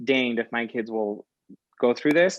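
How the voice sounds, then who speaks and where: With a slight Mexican accent, a man talks at a fairly quick pace with ordinary pitch variation. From rural Utah, US. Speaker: guest. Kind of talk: interview. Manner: halting.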